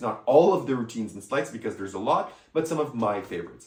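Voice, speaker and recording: Speech in a French accent moves at a fairly quick pace with very wide pitch swings. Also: man. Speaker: magic product reviewer. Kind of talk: product review. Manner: casual, hesitant at times.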